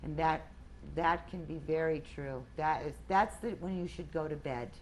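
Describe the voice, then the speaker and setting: Vocal fry runs through a woman's voice as she speaks at a fairly slow pace. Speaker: weight loss group leader. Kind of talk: group talk.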